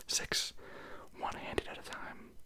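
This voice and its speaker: A woman whispering in a relaxed tone at a fairly slow pace, with noticeable background noise. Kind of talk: ASMR whisper ramble, casual talk to camera. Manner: whispered; relaxed, rambling.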